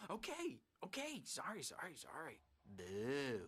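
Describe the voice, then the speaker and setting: A man uses a put-on character voice at a fairly high pitch. He speaks at a fairly slow pace. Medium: video game. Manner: erratic, manic.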